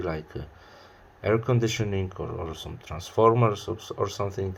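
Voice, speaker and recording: His voice somewhat breathy, a man speaks with pitch that varies in an ordinary way. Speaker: music reviewer. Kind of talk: album review to camera. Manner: hesitant, many fillers.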